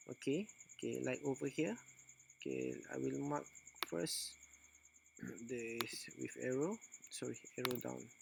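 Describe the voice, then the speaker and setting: Long, frequent pauses break up a man's fairly slow delivery. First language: non-native English speaker. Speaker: forex trader. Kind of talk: screen-recorded trading tutorial. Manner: hesitant, many filler sounds.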